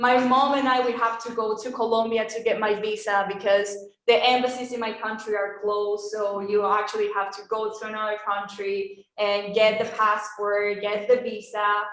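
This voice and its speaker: A woman's fairly high, monotone, flat voice in a Spanish accent at a moderate pace, with audible room echo. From Venezuela. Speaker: former exchange student. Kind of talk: testimony. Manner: casual, hesitant.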